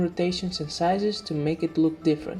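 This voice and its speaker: With music in the background, a woman talks at a fairly quick pace in a fairly low voice. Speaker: indie game developer. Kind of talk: devlog tutorial narration.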